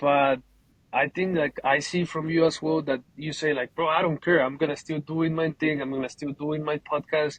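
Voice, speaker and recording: At a moderate pace, a man with a Colombian accent speaks in a fairly high pitch, his intonation monotone and flat. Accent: Colombian Spanish accent, noticeable. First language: Spanish. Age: 20s. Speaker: painting business owner. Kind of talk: casual interview. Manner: halting, repeats words.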